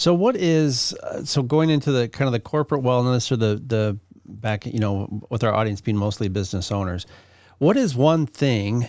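A man with a plain, everyday voice talks at a moderate pace and medium pitch with lively intonation, in a very clean recording with a silent background. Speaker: radio podcast host. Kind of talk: casual interview.

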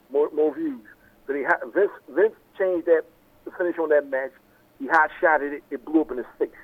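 A man at a fairly high pitch and fairly quick pace, with ordinary pitch variation and long, frequent pauses

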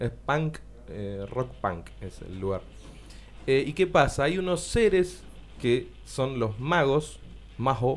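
This man talks at a very slow pace. He leaves long, frequent pauses. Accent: Rioplatense. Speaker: radio host. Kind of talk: casual chat.

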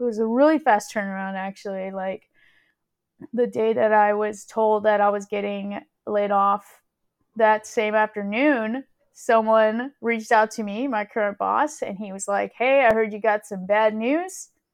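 At a moderate pace, a woman with a plain, everyday voice speaks in a fairly high pitch with fairly even intonation. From Houston, Texas (moved from California at ten). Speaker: podcast co-host, interviewee. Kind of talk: casual chat interview.

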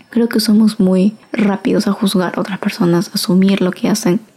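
This woman has an unremarkable speaking voice, pitched in the medium range. Her pace is moderate and her pitch varies in an ordinary way. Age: 20s. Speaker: podcaster. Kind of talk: solo casual monologue.

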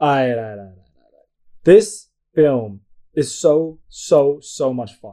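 A man's dark, mellow voice at a very slow pace, with lively intonation, big swings in loudness and long, frequent pauses. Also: fairly high pitch for a man. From Asia. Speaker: podcast co-host. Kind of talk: casual chat. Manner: animated.

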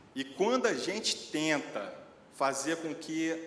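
Speaking at a very slow pace with a fairly high pitch, a man is heard over noticeable background noise and audible room echo. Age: 40s. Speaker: lay preacher. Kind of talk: sermon.

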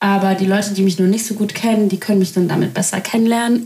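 At a fairly quick pace, a woman talks in a medium pitch with noticeable background noise behind her. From Germany. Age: 20s. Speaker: podcaster. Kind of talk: casual monologue.

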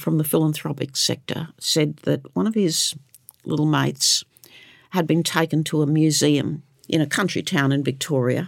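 A woman speaks with vocal fry at a very deep, low pitch. Her loudness is very even, on a very clean recording with a silent background. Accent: Australian. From Queensland, Australia. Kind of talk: interview. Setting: studio.

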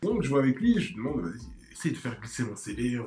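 Over music in the background, the voice has lively intonation. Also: man. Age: 20s. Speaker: startup manager. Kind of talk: casual interview.

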